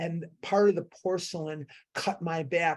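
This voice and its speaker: This woman has a plain, everyday voice, pitched fairly low, with fairly even intonation. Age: 60s. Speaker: recovery meeting speaker. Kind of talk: testimony.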